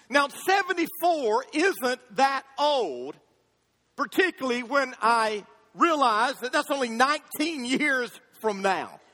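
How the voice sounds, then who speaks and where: At a very slow pace, a man with an extremely high pitch uses a raised, projected voice and lively intonation, recorded with a dry, close sound with no echo. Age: 50s. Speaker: pastor. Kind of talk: sermon. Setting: church.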